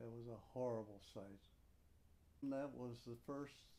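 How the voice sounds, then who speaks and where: This man has an Upper Midwest accent and a dark, mellow tone. He speaks at a medium pitch and a fairly slow pace. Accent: Upper Midwest American. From Upper Peninsula of Michigan. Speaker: war veteran. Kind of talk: oral history interview.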